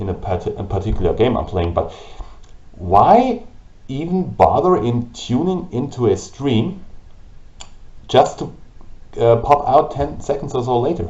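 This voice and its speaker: Speaking at a fairly slow pace with a German accent, a man moves through very wide pitch swings. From Germany. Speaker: gaming YouTuber and streamer. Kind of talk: vlog monologue. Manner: halting. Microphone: old camera, low quality.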